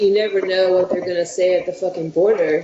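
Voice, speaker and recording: Noticeable background noise accompanies a woman speaking at a fairly quick pace with an American accent. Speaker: punk band member. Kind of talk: interview.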